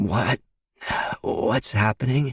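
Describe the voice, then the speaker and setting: A man puts on a raspy, hoarse character voice at a medium pitch. The sound is dry and close, with no echo. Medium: read story.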